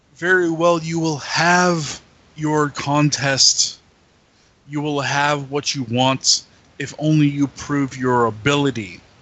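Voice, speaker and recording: In a put-on character voice, a man bellows in a booming, resonant, fairly high pitch at a fairly slow pace. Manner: bellowing, commanding.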